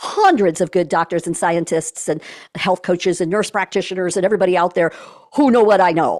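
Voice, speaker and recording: The sound is dry and close with no echo as a woman speaks in an animated tone. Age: 60s. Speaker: scientist and health coach. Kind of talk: online health seminar talk.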